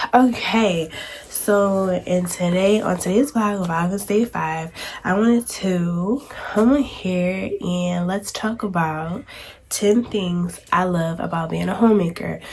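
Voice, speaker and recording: Against noticeable background noise, a woman with a medium pitch talks at a very slow pace. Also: ordinary pitch variation. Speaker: homemaking vlogger. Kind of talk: casual vlog talk. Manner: filler-heavy, relaxed.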